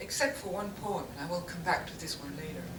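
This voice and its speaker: A woman with a non-native accent speaks at a medium pitch, with noticeable background noise and audible room echo. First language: not English. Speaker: printmaker. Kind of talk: artist talk to an audience. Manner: halting, with self-corrections.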